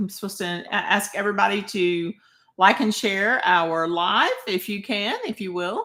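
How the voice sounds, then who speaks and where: A woman with a Southern US accent speaks at a fairly slow pace in a medium pitch, her bright, sharp tone carried on fairly even intonation. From Arkansas. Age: 60s. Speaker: online marketer. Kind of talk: livestream sales pitch. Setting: live video stream.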